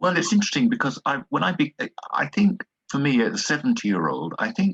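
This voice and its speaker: This man talks at a fairly quick pace with vocal fry and very wide pitch swings, recorded with a dry, close sound and no echo. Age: 70s. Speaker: university professor and writer. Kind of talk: interview. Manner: hesitant, with fillers and repetitions.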